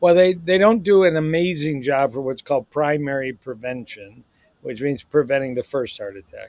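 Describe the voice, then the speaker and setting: An unremarkable speaking voice from a man, fairly high in pitch, at a moderate pace, with lively intonation and big swings in loudness. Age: 60s. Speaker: cardiologist. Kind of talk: podcast interview.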